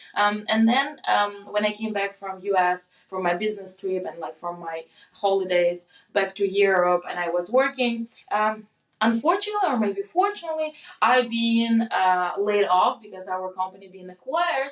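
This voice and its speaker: A woman with a Russian accent speaks at a moderate pace and medium pitch, with ordinary pitch variation and big swings in loudness. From Russia, Moscow. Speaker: product manager. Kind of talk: casual chat. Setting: in-person recording.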